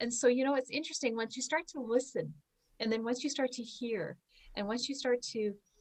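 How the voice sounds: Speaking at a fairly quick pace, a woman uses a fairly high pitch and a slightly mellow tone. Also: ordinary pitch variation.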